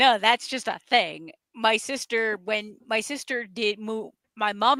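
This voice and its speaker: A woman with an American accent speaks at a fairly high pitch with ordinary pitch variation. Her tone is bright and sharp, and the sound is dry and close with no echo. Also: very clean recording, silent background. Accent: Boston accent, sometimes comes out. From New England, near New Hampshire border. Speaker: radio show co-host. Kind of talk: casual chat. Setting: live stream.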